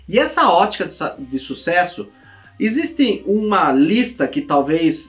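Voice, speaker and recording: An animated man's voice at a fairly slow pace, with very wide pitch swings and music in the background. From interior of São Paulo state, Brazil (Itapetininga). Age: 30s. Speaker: optometrist and optical-shop business consultant. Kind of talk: direct-to-camera personal story video. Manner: casual, animated.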